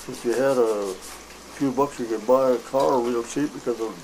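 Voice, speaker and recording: A man with an American accent at a moderate pace, fairly even intonation, and noticeable background noise. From Wisconsin, USA. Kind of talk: interview answer. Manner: hesitant, rambling.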